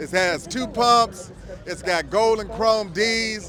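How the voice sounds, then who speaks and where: A man with an American accent speaks in a high voice at a fairly slow pace. There is noticeable background noise. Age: 60s. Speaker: lowrider car owner. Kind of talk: casual interview.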